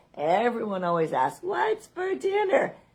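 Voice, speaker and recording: With ordinary pitch variation, a woman speaks as noticeable background noise continues. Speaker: life coach. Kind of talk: casual vlog monologue. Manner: animated.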